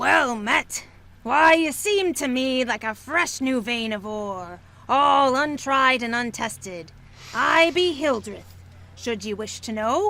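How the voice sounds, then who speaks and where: In a put-on character voice, a female-sounding speaker with a high pitch goes at a fairly slow pace. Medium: fan dub. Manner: blunt, hearty.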